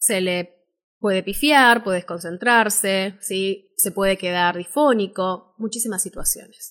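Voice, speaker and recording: A woman with an ordinary speaking voice talks fairly slowly at a medium pitch with ordinary pitch variation, in a very clean recording with a silent background. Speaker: voice-over artist and speaking teacher. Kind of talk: live-stream workshop talk.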